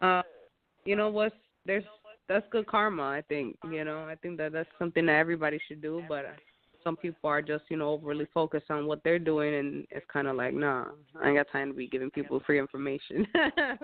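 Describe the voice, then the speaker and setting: A woman with an American accent has a very deep, low pitch. She talks at a fairly quick pace with ordinary pitch variation. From Chicago. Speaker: singer. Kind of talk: interview. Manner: hesitant, many fillers.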